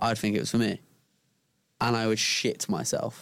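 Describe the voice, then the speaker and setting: This man speaks with a British accent. His voice sits at a medium pitch, and his intonation is fairly even. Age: 20s. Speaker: content creator. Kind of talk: casual chat.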